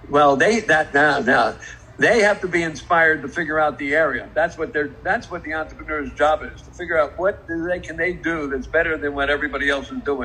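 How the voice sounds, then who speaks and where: Talking at a fairly quick pace with hardly any pauses, a man's fairly high voice has ordinary pitch variation. Noticeable background noise is audible. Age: 80s+. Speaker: car industry entrepreneur. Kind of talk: live stream interview. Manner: energetic.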